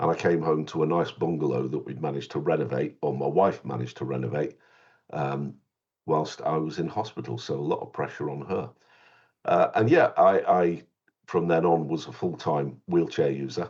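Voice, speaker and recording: This man's voice is very deep and low, with vocal fry and ordinary pitch variation. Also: moderate pace. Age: 60s. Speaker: children's author. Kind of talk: interview. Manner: halting.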